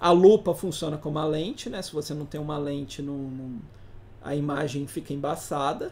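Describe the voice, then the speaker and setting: An unremarkable speaking voice keeps a moderate pace and fairly even intonation. Its loudness swings widely. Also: man, fairly high pitch for a man. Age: 30s. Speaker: teacher. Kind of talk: lecture.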